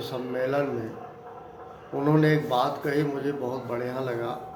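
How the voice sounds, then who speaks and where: Noticeable background noise and audible room echo surround this recording. The man's pitch is fairly high, and his intonation is fairly even. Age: 60s. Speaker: spiritual talk vlogger. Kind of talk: moral discourse monologue.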